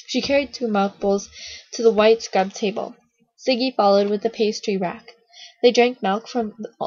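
The background stays quiet. A natural reading voice carries the clip.

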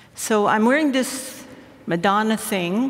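A woman is heard over noticeable background noise. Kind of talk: community talk to an audience. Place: stage. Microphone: headset.

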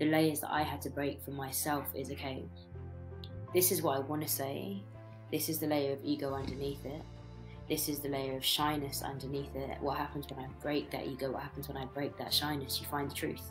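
Clear music plays behind a woman with a very deep, low pitch. Her intonation is lively and her pace fairly quick. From Britain. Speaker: spoken word poet. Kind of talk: podcast cold open quote. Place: home room. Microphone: webcam.

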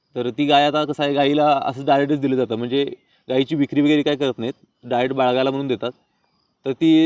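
A man speaks in a monotone, flat delivery at a fairly high pitch. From Chandgad area, Kolhapur district, Maharashtra. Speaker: village vlogger and farmer. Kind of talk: casual vlog talk.

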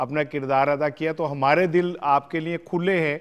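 A man speaks in a monotone with flat intonation over a quiet background. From Pakistan. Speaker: TV host. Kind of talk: interview. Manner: formal. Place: studio. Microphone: lapel.

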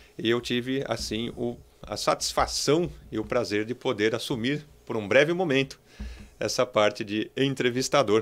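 A man's medium-pitched voice moves fairly slowly, its pitch varying in an ordinary way. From Brazil. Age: 40s. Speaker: entrepreneur; podcast interviewer. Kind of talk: interview. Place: studio. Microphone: studio mic.

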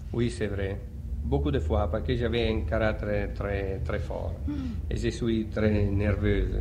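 A man with an Italian accent speaks very slowly in a very deep, low pitch, his pitch swinging very widely. Noticeable noise sits in the background. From Italy, Adriatic coast (Ancona). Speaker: opera tenor. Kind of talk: radio interview answer. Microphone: old recording.

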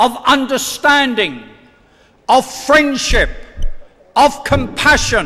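This man speaks in a raised, projected voice with a British accent. His pace is very slow. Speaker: member of parliament. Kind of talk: formal speech. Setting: stage with audience at convention. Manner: emphatic. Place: hall. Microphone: podium.

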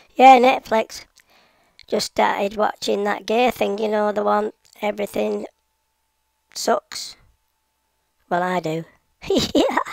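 A woman speaks at a fairly slow pace with long, frequent pauses, and the sound is dry with no echo. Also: quiet background. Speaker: remote interview guest. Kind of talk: interview answer. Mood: joking, playful. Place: home room.

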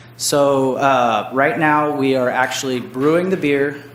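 Amid noticeable background noise and audible room echo, a man with an American accent speaks at medium pitch with fairly even intonation. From US West Coast (Santa Maria, California). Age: 30s. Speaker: brewery owner. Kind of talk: public testimony at council meeting. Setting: city council meeting. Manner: casual, hesitant with fillers.

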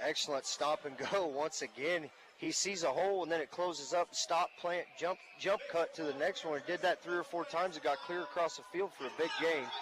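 A man speaks fairly quickly at a high pitch with ordinary pitch variation. Noticeable background noise runs behind him. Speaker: color commentator. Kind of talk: live sports commentary, analyzing plays. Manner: relaxed, conversational, explanatory, with frequent filler words.

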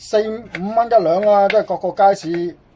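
Moderate pace against noticeable background noise. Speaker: cooking YouTuber. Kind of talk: cooking tutorial. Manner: animated.

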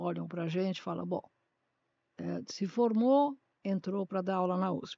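A woman talks with ordinary pitch variation. The sound is dry with no echo, and the background is quiet. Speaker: retired history professor. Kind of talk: interview, reflective storytelling. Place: studio. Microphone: studio mic.

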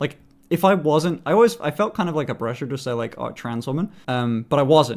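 A man speaks with lively intonation in a British accent. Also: fairly high pitch for a man. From United Kingdom. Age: 20s. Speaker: streamer. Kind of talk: casual live-stream talk to chat. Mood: playful, candid. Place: home room. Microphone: studio mic.

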